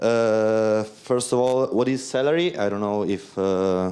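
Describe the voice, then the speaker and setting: The voice has an Italian accent and a dark, mellow tone. Its pitch varies in an ordinary way. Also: man. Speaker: DevOps engineer. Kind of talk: lightning talk. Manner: halting, many fillers.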